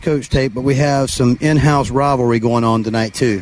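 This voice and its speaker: Noticeable background noise accompanies a voice moving at a moderate pace. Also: man. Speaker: sideline reporter. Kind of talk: live sideline commentary. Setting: on the field sideline, outdoors. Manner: enthusiastic, casual.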